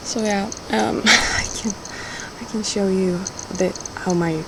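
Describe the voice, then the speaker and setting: Amid noticeable background noise and audible room echo, a woman speaks at a very slow pace with ordinary pitch variation. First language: Swedish. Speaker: video blogger. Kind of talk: casual vlog monologue. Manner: halting.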